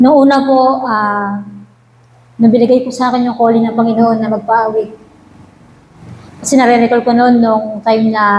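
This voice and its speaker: Against audible room echo, a woman talks at a fairly quick pace in monotone, flat intonation. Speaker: church worship leader. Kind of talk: testimony. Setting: church prayer meeting. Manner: halting; formal.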